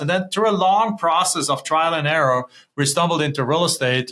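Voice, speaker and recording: A man with a German accent talks at a fairly quick pace. His tone is bright and sharp. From Germany. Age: 50s. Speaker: real estate investor. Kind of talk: interview.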